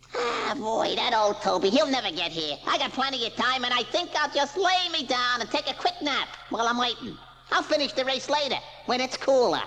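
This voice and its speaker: A put-on character voice, fairly high in pitch, moves at a fairly quick pace over clear background noise. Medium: read story. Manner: laughing, brash, fast.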